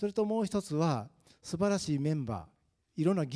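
The recording is very clean, with a silent background and a dry, close sound with no echo. A man speaks in a dark, mellow tone. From Japan, Tokushima (rural). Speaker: retired town official. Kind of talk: panel discussion.

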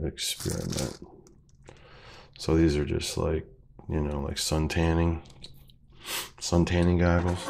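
Intonation stays fairly even. Noticeable background noise runs underneath. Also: man. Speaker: abstract painter; bass guitarist. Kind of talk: casual unboxing talk to camera.

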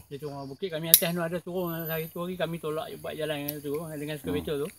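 A man speaks at a very fast pace with a fairly high pitch and fairly even intonation. The sound is dry with no echo, with noticeable background noise. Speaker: village keeper. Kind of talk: interview answer. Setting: outdoors. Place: farm.

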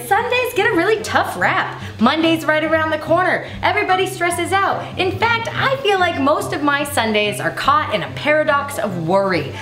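With faint music in the background and audible room echo, a woman speaks in a high pitch at a moderate pace. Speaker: cooking show host. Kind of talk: comedic cooking show talk. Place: kitchen.

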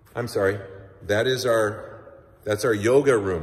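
This is a man speaking. His pitch variation is ordinary. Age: 50s. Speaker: personal trainer. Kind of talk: promotional video tour. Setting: walking through a gym. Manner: animated. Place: gym. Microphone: phone near.

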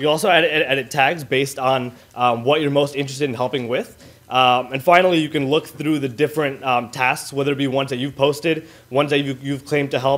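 Speaking at a very fast pace, a man uses a fairly high pitch and fairly even intonation. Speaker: student hackathon participant. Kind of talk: demo presentation. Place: hall.

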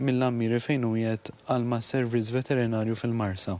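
A man talks in a normal speaking voice at a moderate pace. His pitch is medium and his intonation fairly even. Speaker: animal welfare official. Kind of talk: TV interview.

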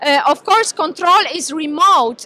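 A woman's raised, projected voice at a fairly slow pace, with a dry sound and no echo. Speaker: presenter. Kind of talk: lecture. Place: hall. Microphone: handheld.

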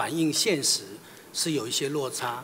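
Over light background noise, a man speaks at a moderate pace in a fairly high pitch. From Taiwan. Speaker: senior government official, nominee. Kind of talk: answering at confirmation hearing; interview answer. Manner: halting, repeats words. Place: hall. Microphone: podium.

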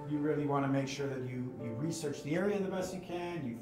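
Clear music plays in the background as the speaker goes at a fairly quick pace with ordinary pitch variation and audible room echo. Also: man. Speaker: podcast guest. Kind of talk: interview answer. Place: studio.

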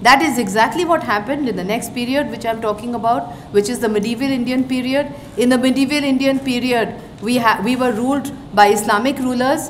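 A woman's high-pitched voice with fairly even intonation over light background noise. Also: fairly quick pace. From eastern India. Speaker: retired diplomat, guest lecturer; guest lecturer. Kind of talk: lecture. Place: hall. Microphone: podium.

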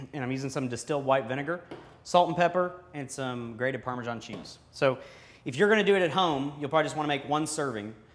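Here a man speaks with ordinary pitch variation. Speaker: company employee cooking host. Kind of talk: tutorial. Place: kitchen. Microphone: lapel.

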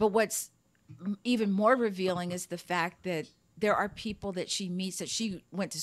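Woman's medium-pitched voice with fairly even intonation, on a very clean recording with a silent background. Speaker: Air Force veteran, podcaster. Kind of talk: casual chat.

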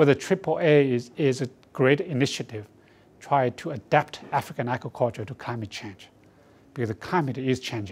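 A man with a Chinese accent, medium pitch, ordinary pitch variation, a moderate pace, somewhat breathy delivery and big swings in loudness. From China. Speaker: research institute director. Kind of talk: campaign support statement. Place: studio.

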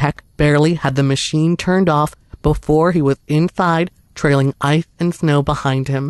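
Dry and close with no echo, a man's fairly high voice moves at a fairly slow pace in a flat monotone. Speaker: horror story narrator. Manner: steady, hushed suspenseful storytelling pace.

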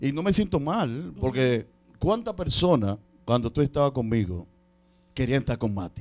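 A man talks at a moderate pace in an animated tone, his pitch making very wide swings. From Dominican Republic. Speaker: radio show producer and entertainment promoter; radio show producer. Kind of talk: interview with preaching asides. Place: studio. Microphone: handheld.

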